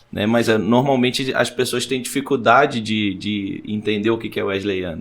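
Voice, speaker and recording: The man's medium-pitched voice holds fairly even intonation at a moderate pace. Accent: Rio de Janeiro. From Brazil, raised in São Paulo state and south, born Petrópolis. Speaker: pastor. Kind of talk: podcast interview.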